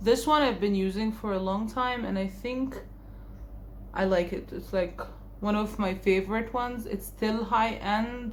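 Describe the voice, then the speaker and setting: Amid audible room echo, a woman talks at a fairly slow pace with a fairly high pitch. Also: fairly even intonation. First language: Arabic (Egyptian). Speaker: beauty vlogger. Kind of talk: makeup tutorial and haul. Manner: casual, conversational.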